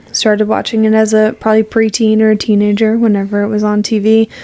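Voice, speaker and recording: A woman talks at a fairly quick pace amid noticeable background noise. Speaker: podcast co-host. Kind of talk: casual chat. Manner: fast.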